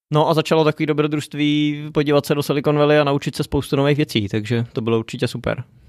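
This man has an unremarkable speaking voice, fairly high in pitch with fairly even intonation. The sound is dry and close, with no echo. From Czech Republic, Děčín. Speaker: entrepreneur. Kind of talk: interview. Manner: casual, many fillers.

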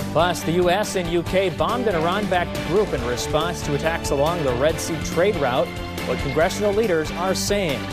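With clear music behind him, a man talks fairly quickly. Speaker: TV news anchor. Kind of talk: TV news teases. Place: studio.

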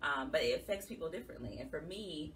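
The speaker moves at a fairly quick pace. Light background noise sits underneath. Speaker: guest. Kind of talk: interview answer. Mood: earnest, emotional personal story. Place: studio.

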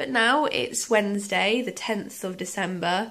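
Here a woman talks at a fairly slow pace. Her pitch varies in an ordinary way. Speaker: vlogger. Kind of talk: casual vlog chat. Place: home room. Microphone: phone near.

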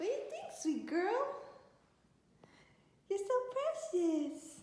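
Slow and slightly mellow, the woman's voice sits at an extremely high pitch and moves in big pitch swings.

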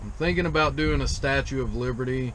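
A man's voice over light background noise. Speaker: truck driver vlogger. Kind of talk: casual vlog chat. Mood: relaxed, easygoing. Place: car. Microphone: phone near.

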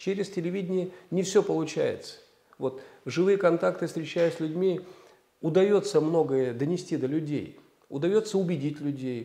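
A man's high-pitched voice with a dark, mellow tone at a moderate pace. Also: ordinary pitch variation. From Moldova. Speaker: politician, candidate for regional governor; politician, candidate. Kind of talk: political interview. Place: studio. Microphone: lapel.

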